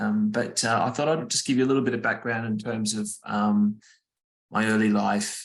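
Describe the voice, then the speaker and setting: A man with an Australian accent at a moderate pace. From Australia, Brisbane. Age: 40s. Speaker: cancer survivor sharing his story. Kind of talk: personal testimony talk. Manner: halting, many fillers.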